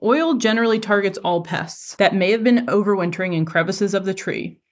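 In a very clean recording with a silent background, a woman with an ordinary speaking voice talks at medium pitch and a fairly quick pace, with lively intonation and hardly any pauses. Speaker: entomology professor and podcast host. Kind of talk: scripted extension update.

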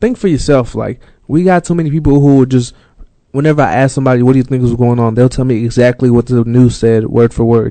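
Very fast speech comes from a man with a dark, mellow tone. His pitch is medium, with ordinary variation. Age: 20s. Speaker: podcast co-host. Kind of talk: casual chat. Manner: animated.

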